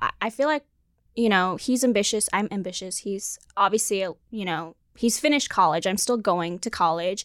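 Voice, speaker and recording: A woman talks in an unremarkable speaking voice at a moderate pace with lively intonation, recorded dry and close with no echo on a very clean, silent background. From South Africa (Durban), moved to US as teen. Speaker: dating show contestant. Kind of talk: casual chat. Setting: studio.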